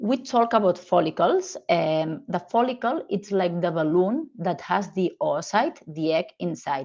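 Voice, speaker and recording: With a Spanish accent, a woman speaks at a moderate pace and with lively intonation. The background is quiet. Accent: Spanish-accented English, non-native. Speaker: gynecologist, fertility specialist. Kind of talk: medical lecture presentation.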